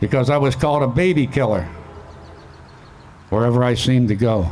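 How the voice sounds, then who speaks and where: Speaking in a Pittsburgh accent at a fairly quick pace, a man is heard with audible room echo and noticeable background noise. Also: medium pitch for a man, lively intonation, very even loudness. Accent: western Pennsylvania (Pittsburgh) American. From western Pennsylvania, McKeesport area. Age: 70s. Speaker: Vietnam war veteran. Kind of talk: memorial speech.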